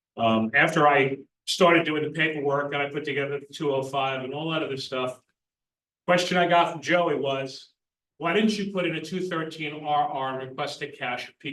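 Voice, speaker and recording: Loud and at a fairly quick pace, a man speaks at a fairly high pitch with ordinary pitch variation. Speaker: emergency communications coordinator. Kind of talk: group meeting discussion.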